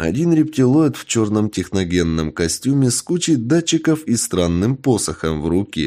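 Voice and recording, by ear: A natural voice reading aloud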